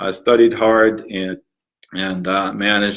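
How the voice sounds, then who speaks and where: A man's fairly low voice in a Palestinian accent, with fairly even intonation. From Palestine. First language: Arabic. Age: 60s. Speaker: museum founder. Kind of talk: interview. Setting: museum, live recording. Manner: halting, many fillers.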